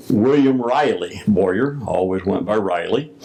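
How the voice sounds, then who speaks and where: Noticeable background noise sits behind a man speaking very slowly. His intonation stays fairly even. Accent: American. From US South, Missouri Bootheel. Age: 70s. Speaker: retired Freemason grand master. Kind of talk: interview. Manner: hesitant with many fillers.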